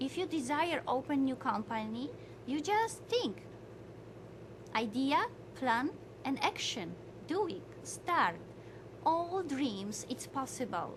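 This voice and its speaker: Amid noticeable background noise and audible room echo, a woman speaks at a very slow pace in a high voice, with very wide pitch swings and long, frequent pauses. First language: not English, learned English five years ago. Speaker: motivational speaker. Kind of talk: motivational lecture. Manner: halting non-native English.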